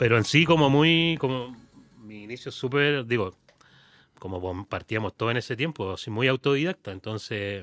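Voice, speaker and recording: A man speaks at a moderate pace and a medium pitch, with lively intonation and big swings in loudness. The sound is dry and close, with no echo. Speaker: music industry professional. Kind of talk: casual chat. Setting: studio. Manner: halting.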